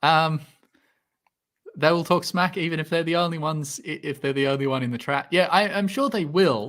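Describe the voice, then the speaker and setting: A man with an Australian accent at a fairly quick pace, on a very clean recording with a silent background. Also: ordinary pitch variation. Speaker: science YouTuber, PhD student. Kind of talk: livestream Q&A chat. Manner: hesitant, many fillers.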